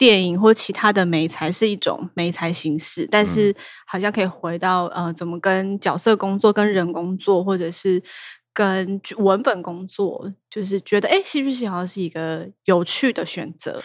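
A woman's plain, everyday voice at medium pitch, with ordinary pitch variation and a moderate pace. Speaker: theatre director. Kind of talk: casual chat.

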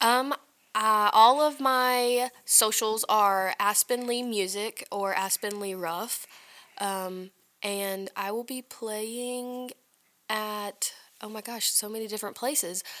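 Very slowly, a woman with a Southern US accent and a fairly high pitch speaks in a bright, sharp tone with fairly even intonation and big swings in loudness, on a very clean recording with a silent background. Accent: Southern US, country. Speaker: singer-songwriter. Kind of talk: casual interview chat. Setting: studio. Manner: quiet, soft-spoken.

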